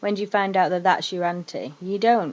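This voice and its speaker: Here a woman speaks with a northern English accent. Her pitch is medium and her pace fairly quick. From northern England. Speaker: vlogger. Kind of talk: personal testimony vlog. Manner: casual, hesitant with fillers.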